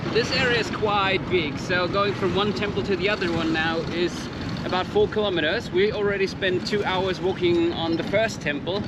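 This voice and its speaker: Noticeable background noise accompanies speech that proceeds at a moderate pace. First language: not English. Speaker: motorcycle travel vlogger. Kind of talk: casual travel vlog chat.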